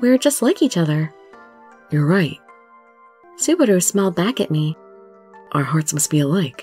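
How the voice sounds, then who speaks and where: Music in the background beneath a woman's moderately paced speech. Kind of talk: dramatic story reading.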